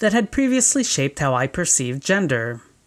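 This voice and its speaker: A woman's pitch swings very widely as she talks at a moderate pace. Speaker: video essayist. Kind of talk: scripted narration. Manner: formal.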